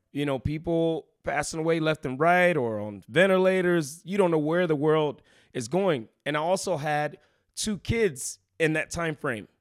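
A man with an American accent speaks at a fairly slow pace, in an unremarkable speaking voice with a fairly high pitch and ordinary pitch variation. The recording is very clean, with a silent background. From Texas, Houston. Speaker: boxing gym owner and boxer. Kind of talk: casual interview.

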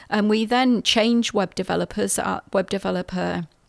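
A woman speaks with a British accent. The recording is very clean and dry, close-miked with no echo against a silent background. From England. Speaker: CEO and registered nurse, podcast host. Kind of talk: scripted intro then casual talk about own background.

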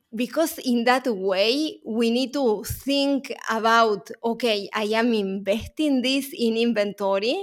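With a Uruguayan accent, a woman talks very slowly at a fairly high pitch. Her intonation is lively. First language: Spanish. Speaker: supply chain consultant and author. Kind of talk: interview.

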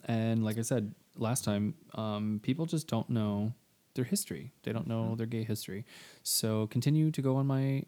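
A man's dark, mellow voice at medium pitch with ordinary pitch variation. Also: moderate pace. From small-town Texas. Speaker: podcast co-host. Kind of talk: casual chat.

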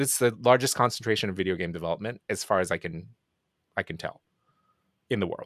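Heard in a dry, close sound with no echo, a man speaks at a fairly low pitch and a very fast pace, broken by long, frequent pauses. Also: ordinary pitch variation. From Japan. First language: Japanese. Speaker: indie game producer. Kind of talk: casual interview chat.

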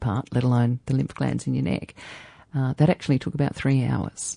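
The sound is dry and close, with no echo. A woman with a very deep, low pitch and a dark, mellow tone talks at a fairly quick pace. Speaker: podcast host. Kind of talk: interview. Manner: warm.

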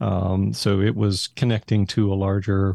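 Speaking with an American accent, a man has a fairly low pitch, a somewhat breathy, dark and mellow tone, and a very clean recording with a silent background. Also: dry, close sound with no echo. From Texas, Haltom City near Fort Worth. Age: 60s. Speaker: school technology director, former accountant. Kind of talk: casual interview.

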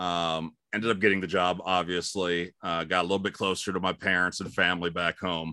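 A man with an American accent and a very deep, low pitch speaks in a bright, sharp tone with monotone, flat intonation, at a fairly quick pace with hardly any pauses, on a very clean recording with a silent background. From Ohio, Cleveland. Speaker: radio host. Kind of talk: casual chat.

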